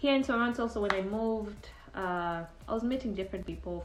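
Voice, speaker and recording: Audible room echo surrounds a woman speaking at a fairly high pitch with ordinary pitch variation. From Uganda. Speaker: immigrant sharing dating experience. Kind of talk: casual testimony.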